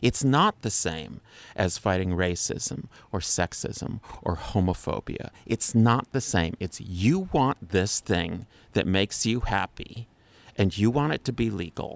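Speaking fairly slowly with an American accent, a man has an ordinary speaking voice, fairly low in pitch with lively intonation, heard dry and close with no echo. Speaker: guest. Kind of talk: casual conversation.

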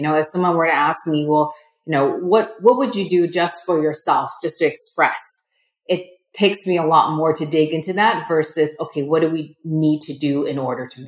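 Speaking at a moderate pace, a woman with a General American accent has an ordinary speaking voice and fairly low pitch with ordinary variation. Her loudness swings widely. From United States. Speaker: entrepreneur. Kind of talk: interview.

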